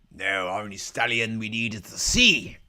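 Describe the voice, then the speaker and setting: The voice is a put-on character voice. It sits at a low pitch. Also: moderate pace. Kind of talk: nautical pirate talk. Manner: jokey, theatrical.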